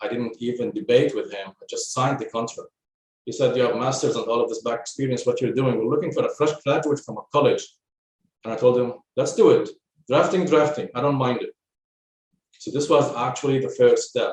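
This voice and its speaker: Speaking fairly quickly with an Arabic accent, a man lets his loudness swing widely. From Lebanon. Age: 40s. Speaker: construction technology specialist. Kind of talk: podcast interview. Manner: halting, with fillers.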